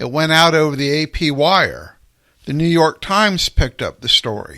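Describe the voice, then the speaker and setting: The recording is very clean with a silent background. A man with a fairly high pitch and a bright, sharp tone speaks at a moderate pace with ordinary pitch variation. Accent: slight Southern US. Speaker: radio talk show host. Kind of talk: radio commentary monologue.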